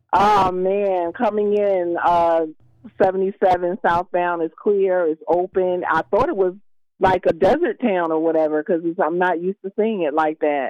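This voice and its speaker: A woman's unremarkable speaking voice at a medium pitch, with fairly even intonation, a fairly slow pace, and a dry, close sound with no echo. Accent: American. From Philadelphia. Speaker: traffic reporter. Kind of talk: call-in traffic report.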